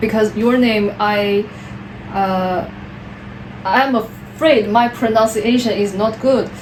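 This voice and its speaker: A woman with a Chinese accent speaks at a very slow pace, with long, frequent pauses. Her fairly high voice keeps a fairly even intonation over noticeable background noise. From China, Wuhan. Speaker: PhD applicant. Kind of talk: job interview. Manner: halting.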